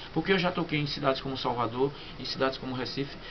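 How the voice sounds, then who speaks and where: A man speaks with a Sergipe accent in a fairly high pitch. Noticeable background noise can be heard behind him. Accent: Northeastern Brazilian (Sergipe). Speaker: punk band vocalist. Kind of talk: interview. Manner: halting, many repetitions.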